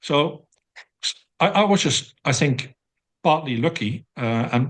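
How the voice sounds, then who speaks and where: A man speaks at a fairly slow pace in a Dutch accent. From Netherlands, near the German border. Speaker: professor and systematic review researcher. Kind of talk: interview. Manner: hesitant with many fillers.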